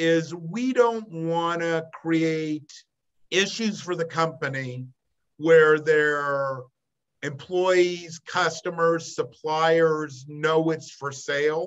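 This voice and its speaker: In an American accent, a man speaks at a very slow pace. His pitch is fairly high, with ordinary variation. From US Pacific Northwest, Portland, Oregon. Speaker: business broker. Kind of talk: interview.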